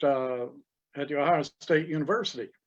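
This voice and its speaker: A man with a fairly high pitch talks in an Appalachian accent. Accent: Appalachian Southern US. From East Tennessee. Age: 70s. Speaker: retired cell biologist. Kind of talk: casual interview.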